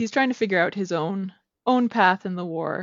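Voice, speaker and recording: With a Canadian accent, this is an unremarkable speaking voice using ordinary pitch variation. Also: woman. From Southern Alberta, Canada. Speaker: novelist. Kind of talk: interview. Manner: laughs often.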